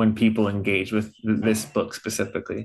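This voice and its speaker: A man has an ordinary speaking voice, medium in pitch, at a moderate pace. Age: 30s. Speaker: podcast host. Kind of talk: interview conversation.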